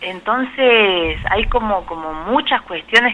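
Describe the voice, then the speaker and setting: A woman with a strong Córdoba accent talks with lively intonation. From Argentina, Córdoba. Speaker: biologist and Chagas researcher. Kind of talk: radio interview. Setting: phone call.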